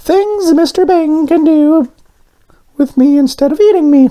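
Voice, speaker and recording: The speaker uses a squeaky, high-pitched put-on character voice. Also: moderate pace. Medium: read story. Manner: excitable.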